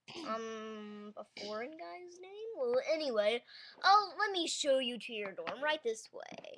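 In a put-on character voice, a female-sounding voice speaks at a fairly slow pace with a high pitch and very wide pitch swings. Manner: hesitant, flustered.

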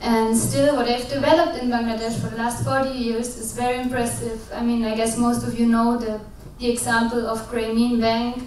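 With audible room echo and light background noise, a woman speaks at a moderate pace in a fairly high voice with fairly even intonation. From Germany. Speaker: social business practitioner. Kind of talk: panel discussion. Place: hall. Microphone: handheld.

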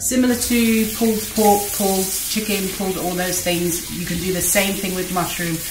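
Noticeable background noise runs beneath a woman whose intonation stays fairly even. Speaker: home cook host. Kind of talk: tutorial. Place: kitchen. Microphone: camera far.

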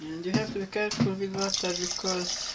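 With faint background noise, a woman speaks with little pitch movement.

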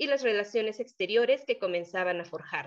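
A fairly high-pitched woman against a quiet background. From Mexico. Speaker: doctoral student; conference presenter. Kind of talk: academic conference talk. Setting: video call. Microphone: video call.

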